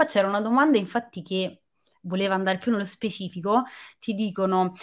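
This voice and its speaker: The speaker is a woman with a medium pitch. The background is quiet. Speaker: film journalist and live stream host; interview host. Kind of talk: live video interview. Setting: video call. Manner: animated. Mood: friendly, lively. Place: home room. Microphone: webcam.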